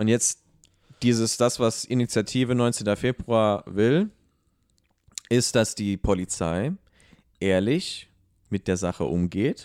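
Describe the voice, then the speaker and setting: Speech comes at a very slow pace with ordinary pitch variation and a dry, close sound with no echo. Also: man, medium pitch for a man, very clean recording, silent background. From abroad, immigrant to Germany. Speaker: podcast co-host. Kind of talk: casual discussion. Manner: hesitant, many fillers.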